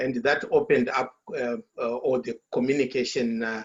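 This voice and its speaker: A man with a Zimbabwean accent, at a moderate pace. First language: Shona. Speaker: author. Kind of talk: panel discussion. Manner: halting, many fillers and repetitions.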